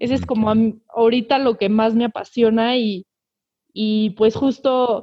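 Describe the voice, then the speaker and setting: A woman's fairly high voice with fairly even intonation, an ordinary speaking voice. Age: 20s. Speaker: environmental activist, chemical engineering student. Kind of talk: casual interview.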